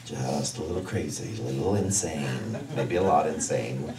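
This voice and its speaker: Noticeable background noise behind a male speaker. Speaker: minister. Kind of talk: sermon. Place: stage.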